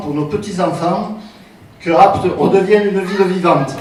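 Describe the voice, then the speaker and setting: Over noticeable background noise and audible room echo, a man talks at a fairly slow pace with ordinary pitch variation. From Provence, France (Apt). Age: 60s. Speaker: local election candidate. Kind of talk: campaign speech. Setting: public meeting.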